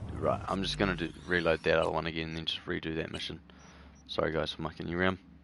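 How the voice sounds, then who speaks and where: A man speaks very fast with a New Zealand accent. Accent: New Zealand accent, noticeable to viewers. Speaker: gaming streamer. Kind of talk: live gameplay stream, reading chat. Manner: casual, many filler words.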